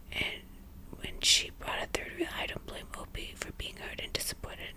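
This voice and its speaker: The whispered words come at a rather slow pace. Behind them, background noise is clearly audible. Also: woman. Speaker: ASMR content creator. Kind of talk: casual commentary on the story. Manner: chatty, opinionated.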